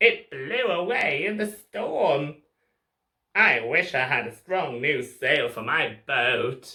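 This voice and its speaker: A put-on character voice at a middle pitch, at a very slow pace. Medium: read story. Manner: bleating.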